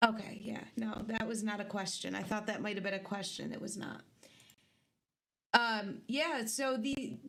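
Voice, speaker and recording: A woman's fairly high-pitched voice with vocal fry and audible room echo. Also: fairly even intonation, moderate pace. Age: 20s. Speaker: livestream host. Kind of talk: casual chat. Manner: soft-spoken.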